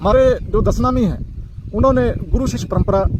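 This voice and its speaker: A man's moderately paced talking comes through amid noticeable background noise. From Punjab, India. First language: Punjabi (speaking Hindi). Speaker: community speaker on religious tradition. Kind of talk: informal talk to camera. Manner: halting, many fillers and restarts.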